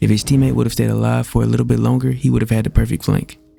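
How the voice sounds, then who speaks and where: Noticeable background noise plays beneath this man as he talks. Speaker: gaming youtuber. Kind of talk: tutorial with gameplay commentary. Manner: casual, conversational.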